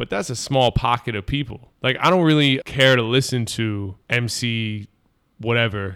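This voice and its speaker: In a normal speaking voice of medium pitch, a man talks with ordinary pitch variation on a very clean recording with a silent background. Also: moderate pace. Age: 30s. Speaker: rapper. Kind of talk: casual chat.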